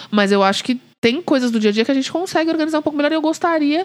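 Very fast speech from a woman amid noticeable background noise. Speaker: podcast co-host. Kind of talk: casual chat. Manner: loud.

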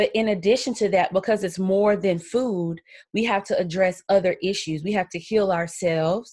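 The speaker has a South Carolina accent, a moderate pace and ordinary pitch variation. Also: woman. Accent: Southern US (South Carolina). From US South, Columbia, South Carolina. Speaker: podcast host. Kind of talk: solo podcast monologue.

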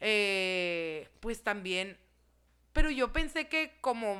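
A woman speaks very slowly in a bright, sharp tone at a medium pitch. The recording is very clean with a silent background. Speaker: podcast guest. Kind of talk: casual chat. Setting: studio.

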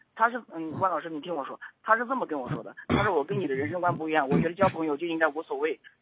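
Words come at a very fast pace. There are hardly any pauses. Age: 30s. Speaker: caller to advice radio show. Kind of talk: call-in advice conversation.

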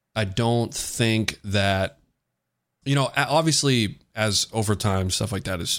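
In a very clean recording with a silent background, a man speaks at a fairly slow pace with ordinary pitch variation in an unremarkable speaking voice. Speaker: podcast co-host. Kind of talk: casual banter, crude comedic debate. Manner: profane, joking.

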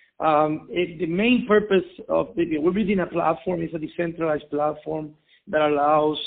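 In a Spanish accent, a man talks at a moderate pace with a fairly high pitch and ordinary pitch variation. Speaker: logistics entrepreneur. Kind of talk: interview. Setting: phone call. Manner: halting.

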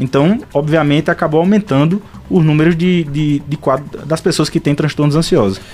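Music plays in the background behind a man with a fairly high pitch. He talks at a moderate pace, his loudness very even. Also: ordinary pitch variation. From Pernambuco, Brazil (São Bento do Una). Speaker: psychiatrist. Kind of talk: radio interview.

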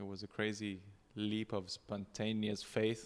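With a monotone, flat intonation, a man talks at a moderate pace and a fairly low pitch. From South Africa, Cape Town. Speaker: chef. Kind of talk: casual chat.

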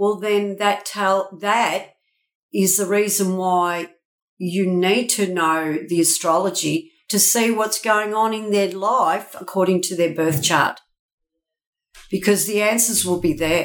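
A woman speaking very slowly with fairly even intonation. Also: medium pitch for a woman. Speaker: feng shui consultant and astrologer. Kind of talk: casual interview chat.

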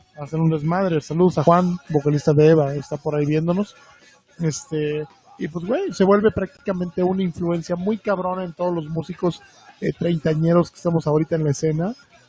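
Over noticeable background noise, a man with a high pitch speaks at a fairly quick pace in a dry, close sound with no echo, his loudness swinging widely while his intonation stays fairly even. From Veracruz, Mexico. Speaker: music podcast co-host. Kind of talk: casual album review chat.

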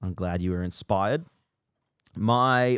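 A man with an Australian accent speaks at a fairly low pitch with ordinary variation. The recording is very clean with a silent background, dry and close with no echo. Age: 20s. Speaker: running influencer and podcast host. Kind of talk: solo casual monologue.

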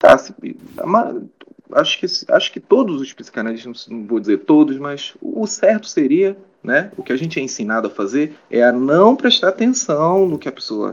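Big swings in loudness from a male speaker at moderate speed. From Belém, Pará, Brazil. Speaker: psychology researcher. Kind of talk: interview.

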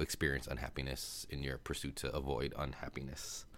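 This relaxed voice has vocal fry and an American accent. The recording is very clean, with a silent background. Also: man. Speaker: podcast host. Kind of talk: casual solo monologue, movie recap. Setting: home recording, solo. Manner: relaxed, conversational with filler words.

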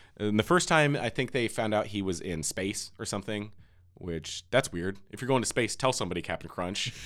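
A man with an ordinary speaking voice talks at a fairly quick pace in a fairly low pitch, with lively intonation. The recording is very clean, the background silent. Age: 30s. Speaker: podcast host. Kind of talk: casual chat.

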